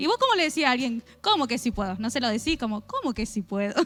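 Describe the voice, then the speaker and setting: The voice is raised and projected, with a bright, sharp tone. Its pitch swings very widely. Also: woman. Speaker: preacher. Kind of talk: sermon. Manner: fast.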